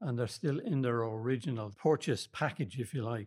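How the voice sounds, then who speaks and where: In a Dublin accent, a man speaks at a medium pitch. The recording is very clean, and the background is silent. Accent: Dublin Irish. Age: 70s. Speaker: men's shed member. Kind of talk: interview.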